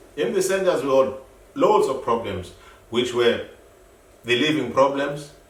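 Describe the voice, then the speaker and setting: Fairly high pitch from a man, lively intonation, a moderate pace with long, frequent pauses, amid noticeable background noise and audible room echo. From South Africa. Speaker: activist, founder of an asylum seekers' group. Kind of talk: interview. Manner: halting, repeats words.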